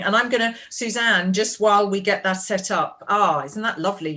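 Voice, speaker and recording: A woman talks at a moderate pace and medium pitch with fairly even intonation. She has an unremarkable speaking voice. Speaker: conference moderator. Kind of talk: panel moderation.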